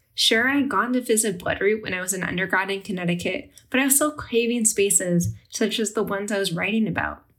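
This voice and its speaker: This woman talks at a very fast pace with hardly any pauses. Her pitch is medium, with ordinary variation. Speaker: podcast host and food historian. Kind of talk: interview podcast.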